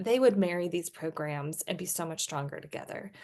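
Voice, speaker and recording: In a quiet background, a woman with a normal speaking voice talks at a moderate pace and medium pitch, with ordinary pitch variation. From Texas. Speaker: admissions consultant. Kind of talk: podcast conversation.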